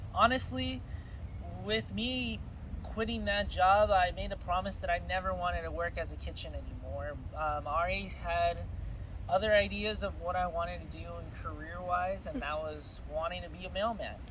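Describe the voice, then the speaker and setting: Noticeable background noise and audible room echo surround speech delivered at a moderate pace. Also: man. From California, Guatemalan family. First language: Spanish. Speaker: mailman. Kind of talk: casual interview chat.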